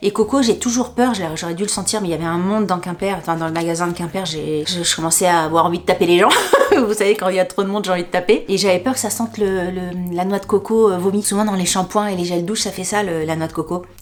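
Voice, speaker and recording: Over noticeable background noise, a woman with a medium-pitched voice talks very fast in an animated tone. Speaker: YouTuber. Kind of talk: haul video monologue.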